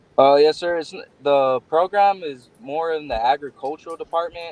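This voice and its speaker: A man with a Texan accent speaks at a fairly high pitch. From Texas, Odessa. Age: 20s. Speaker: bull rider. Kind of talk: interview.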